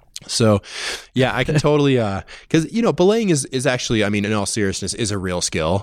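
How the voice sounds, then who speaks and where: At a medium pitch, a man speaks fairly quickly, his voice making very wide pitch swings. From Massachusetts. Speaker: climbing podcast host. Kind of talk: casual interview chat. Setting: conference room at trade show.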